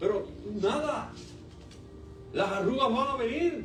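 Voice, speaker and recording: Noticeable background noise and audible room echo fill the recording. A man talks at a fairly slow pace with an extremely high pitch. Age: 60s. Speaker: pastor. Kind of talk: sermon.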